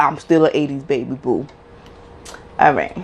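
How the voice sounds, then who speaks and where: A woman with a New York accent and ordinary pitch variation. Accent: New York (Bronx). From Bronx, New York City. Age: 30s. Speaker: YouTuber, mom. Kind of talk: casual Q&A vlog. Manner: animated.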